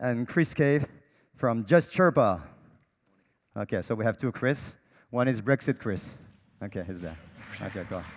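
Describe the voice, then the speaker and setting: With a French accent, a man talks at a moderate pace and medium pitch, his intonation lively, with long, frequent pauses over a very clean recording and a silent background. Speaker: panel moderator. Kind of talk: panel moderation. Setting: stage with audience.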